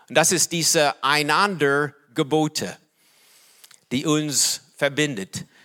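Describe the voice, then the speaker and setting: A man with an English accent and a bright, sharp tone speaks at a very slow pace, with ordinary pitch variation and long, frequent pauses. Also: fairly high pitch for a man. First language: English (speaking German). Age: 60s. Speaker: pastor. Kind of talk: sermon. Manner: halting.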